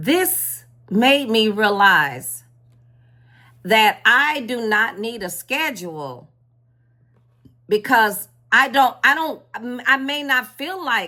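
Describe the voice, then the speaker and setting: A woman's very slow, bright and sharp voice, fairly high in pitch, with very wide pitch swings and long, frequent pauses. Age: 60s. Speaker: spiritual content creator. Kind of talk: casual vlog talk. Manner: halting, with repetitions.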